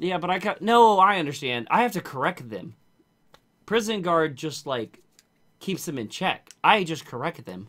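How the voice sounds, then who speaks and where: A man's bright, sharp, high-pitched voice at a moderate pace, with very wide pitch swings and big swings in loudness, on a very clean recording with a silent background. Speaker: livestreamer and correctional officer. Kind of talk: casual chat. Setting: voice chat livestream.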